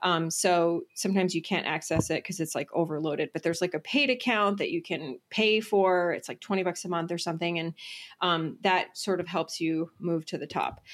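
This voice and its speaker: A woman's plain, everyday voice at a fairly low pitch, fairly quick, with ordinary pitch variation, on a very clean recording with a silent background. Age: 40s. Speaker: entrepreneur and business mentor. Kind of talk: interview.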